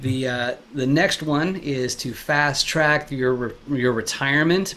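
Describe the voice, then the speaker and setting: Fairly even intonation from a man, with noticeable background noise behind him. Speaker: commercial real estate investor. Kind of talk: interview host questions. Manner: casual, hesitant.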